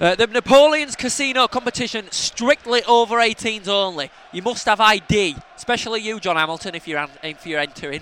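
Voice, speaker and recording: A man's high-pitched, raised and projected voice with a Yorkshire accent, lively intonation and a fairly quick pace, dry and close with no echo, over noticeable background noise. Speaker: football fan podcast co-host. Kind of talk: casual chat.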